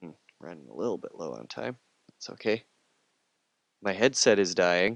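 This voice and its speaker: A man with a very deep, low pitch and vocal fry speaks at a moderate pace, with very wide pitch swings, big swings in loudness and long, frequent pauses. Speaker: digital art instructor. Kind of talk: tutorial. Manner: casual, hesitant with fillers.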